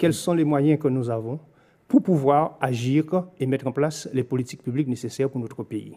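With a dark, mellow tone, a man talks at a fairly quick pace and with fairly even intonation against a quiet background. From Guadeloupe. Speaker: local politician, mayor. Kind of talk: political interview. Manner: formal. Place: studio. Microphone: studio mic.

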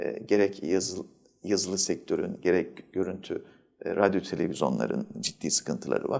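The background stays quiet as a man talks at a moderate speed. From Antalya province, Turkey; Turkey. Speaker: journalists' association president. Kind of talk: interview; interview answer. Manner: hesitant, many filler sounds. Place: studio.

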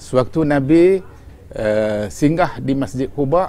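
A man with lively intonation. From Malaysia. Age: 60s. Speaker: religious teacher. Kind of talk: religious lecture. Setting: on pilgrimage in Medina. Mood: calm, warm storytelling.

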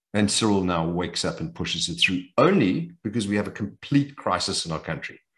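Against a quiet background, a man talks at a moderate pace with a fairly low pitch. His pitch swings very widely. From South Africa, Johannesburg. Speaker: businessman and private investor; interview guest. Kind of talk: interview. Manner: animated. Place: home room. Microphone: video call.

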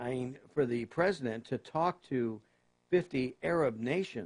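At medium pitch, a man talks with ordinary pitch variation. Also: quiet background. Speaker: political talk radio host. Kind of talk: political commentary. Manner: halting, many fillers. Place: studio.

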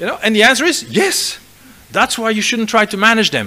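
Raising and projecting his voice, a man speaks at a high pitch. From Belgium, Flanders. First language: Dutch (Flemish). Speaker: business school professor. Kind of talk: lecture. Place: hall. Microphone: podium.

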